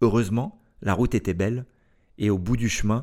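In a very clean recording with a silent background, a man with a fairly low pitch speaks at a moderate pace and fairly even intonation. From France. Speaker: podcast host. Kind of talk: scripted narration.

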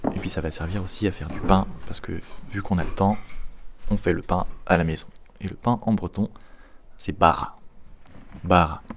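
Speaking at a moderate pace with long, frequent pauses, a man uses a very deep, low pitch and fairly even intonation. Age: 20s. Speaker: podcast host. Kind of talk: casual language lesson. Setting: at home.

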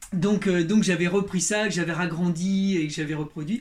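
Intonation stays fairly even, and the pace is moderate. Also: man. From Berry, central France. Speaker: leather craftsman. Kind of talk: interview. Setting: workshop. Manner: halting, many repetitions.

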